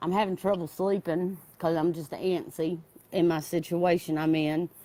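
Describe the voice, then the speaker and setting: Speaking in a Southern US accent, a woman uses a fairly low pitch, a dark, mellow tone and monotone, flat intonation at a moderate pace. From US South, North Carolina foothills. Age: 30s. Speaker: caller to recovery livestream. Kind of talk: casual chat.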